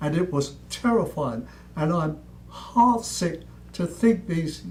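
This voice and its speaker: There is audible room echo and noticeable background noise as a man with an American accent speaks at a fairly high pitch with ordinary pitch variation. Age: 90s. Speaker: preacher, war veteran. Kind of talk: sermon. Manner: fiery, admonishing.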